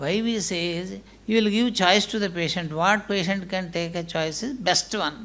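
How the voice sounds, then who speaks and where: Audible room echo surrounds speech delivered at a moderate pace. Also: man. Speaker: hospital managing director. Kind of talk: conference speech.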